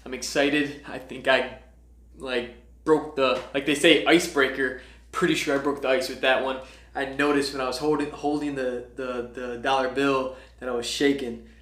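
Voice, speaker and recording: A man speaks at a medium pitch in an enthusiastic tone. There is audible room echo. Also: moderate pace. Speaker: entrepreneur vlogger. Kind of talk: vlog reading out speech feedback.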